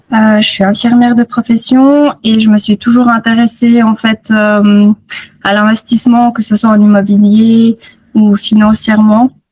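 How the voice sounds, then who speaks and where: This woman's voice is fairly high and somewhat breathy. She talks at a fairly slow pace in a monotone, flat intonation. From Switzerland, Fribourg region. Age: 30s. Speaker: nurse, program student. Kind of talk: interview testimony. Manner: hesitant, many fillers.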